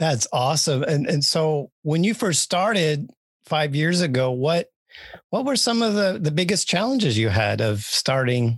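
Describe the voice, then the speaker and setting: The speech comes at a fairly slow pace over a quiet background. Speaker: podcast host and interviewer. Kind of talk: casual interview.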